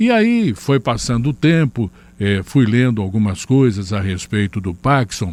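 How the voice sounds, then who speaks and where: A man at a medium pitch and a fairly slow pace, on a very clean recording with a silent background. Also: ordinary pitch variation. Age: 60s. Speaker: channel host. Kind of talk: personal testimony. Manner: halting with fillers.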